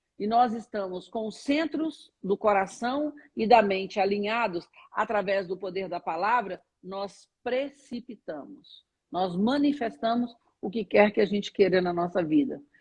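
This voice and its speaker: Somewhat breathy and medium in pitch, a woman speaks at a fairly slow pace with lively intonation. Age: 60s. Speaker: spiritual teacher. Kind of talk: interview on a live stream. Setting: online live stream.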